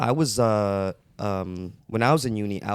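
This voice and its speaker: A man with an American accent and a fairly low pitch. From US Midwest, Cleveland, Ohio. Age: 30s. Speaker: podcast guest. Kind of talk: casual chat.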